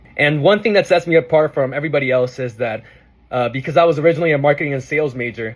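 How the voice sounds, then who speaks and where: A man with a Spanish accent sounds somewhat breathy. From Arizona. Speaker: student, officer candidate. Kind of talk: prepared campaign speech.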